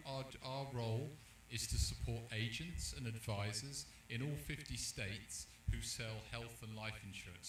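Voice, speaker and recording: A man with a London accent speaks at a fairly slow pace, with noticeable background noise and audible room echo. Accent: British, London. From London, England. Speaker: insurance company executive. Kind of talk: panel discussion. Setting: live event at a restaurant.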